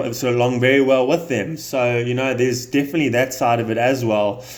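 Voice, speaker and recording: With a South African accent, a man speaks at a medium pitch and a fairly quick pace in a monotone, flat intonation. The recording carries noticeable background noise and audible room echo. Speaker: business owner seeking coaching. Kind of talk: sales call negotiation. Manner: hesitant, many fillers.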